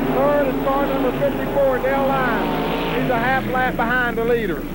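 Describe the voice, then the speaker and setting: The sound is dry with no echo, though loud background noise runs throughout. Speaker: amateur race commentator filming. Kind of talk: commentary. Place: stadium. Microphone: old recording.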